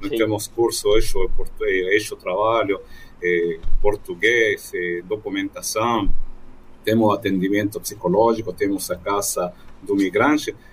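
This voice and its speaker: With a Spanish accent, a man talks at a fairly slow pace. He leaves long, frequent pauses. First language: Spanish (speaking Portuguese). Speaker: journalist and migrant ministry worker. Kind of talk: radio panel interview.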